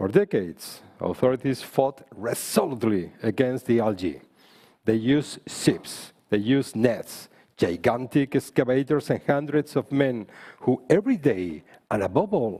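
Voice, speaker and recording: A man with a Spanish accent, medium pitch, fairly slow pace, dark, mellow tone and very wide pitch swings. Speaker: politician. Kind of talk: panel speech.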